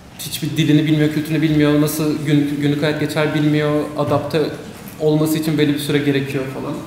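A man's fairly high voice at a fairly quick pace, with audible room echo and light background noise. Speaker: student moderator. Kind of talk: event introduction and interview questions. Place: hall. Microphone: podium.

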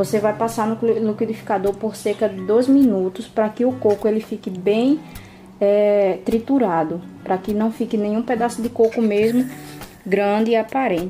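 Faint music plays in the background as a woman talks at a moderate pace, her pitch fairly high and its variation ordinary. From Paraíba, Brazil. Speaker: home cook, YouTuber. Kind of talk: cooking tutorial talk to camera. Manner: warm, friendly. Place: kitchen. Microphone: phone near.

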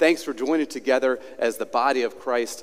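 A man is talking. He goes at a fairly quick pace. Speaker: pastor. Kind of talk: sermon. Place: church. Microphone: headset.

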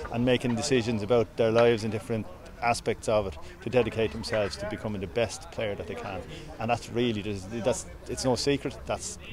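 Noticeable background noise runs under a man speaking at a fairly quick pace, the sound dry with no echo. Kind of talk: interview answer. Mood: pleased, calm after win. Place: stadium. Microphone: phone near.

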